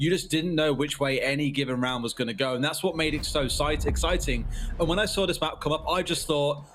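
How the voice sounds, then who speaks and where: Speech comes at a fairly quick pace with ordinary pitch variation and very even loudness. Noticeable background noise is present. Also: man, fairly high pitch for a man. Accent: British. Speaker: esports caster. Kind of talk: live commentary.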